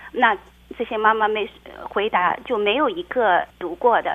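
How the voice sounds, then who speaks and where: At a moderate pace, a woman talks in a plain, everyday voice at medium pitch. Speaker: blogger and childcare worker. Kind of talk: interview.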